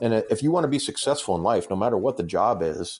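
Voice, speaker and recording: With an American accent, a man speaks in a dark, mellow tone against a quiet background. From Massachusetts. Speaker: former law enforcement officer and fitness coach. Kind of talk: casual chat.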